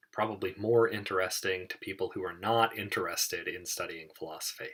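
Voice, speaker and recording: Here a man is speaking. His pace is moderate. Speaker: logic teacher. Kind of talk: lecture.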